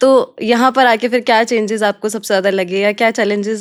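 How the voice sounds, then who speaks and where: An unremarkable speaking voice from a woman, fairly high in pitch, with fairly even intonation and a moderate pace, in a very clean recording with a silent background. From Rajasthan, India. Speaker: podcast host. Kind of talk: interview.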